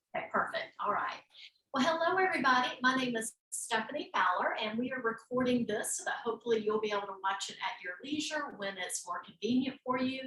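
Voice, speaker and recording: A woman talks at a high pitch and a fairly quick pace. Her intonation is lively. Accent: slight Southern US. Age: 50s. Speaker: yoga teacher. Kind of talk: instructional class. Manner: relaxed, with frequent fillers.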